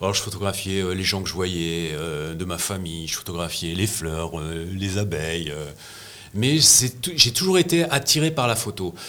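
A man's very deep, low voice, lively in intonation, at a fairly slow pace over noticeable background noise. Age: 60s. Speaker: press photographer. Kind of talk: interview. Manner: halting, with frequent repetitions.

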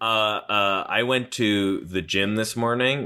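Speaking at a very slow pace, a man uses a fairly low pitch and fairly even intonation. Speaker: podcast co-host. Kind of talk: casual banter about a movie. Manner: joking, improvised, playful.

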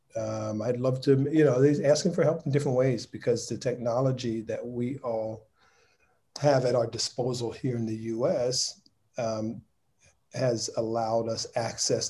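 Somewhat breathy, a man speaks at a medium pitch and a moderate pace, with fairly even intonation and a dark, mellow tone. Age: 50s. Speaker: lighting director and nonprofit founder. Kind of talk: casual interview.

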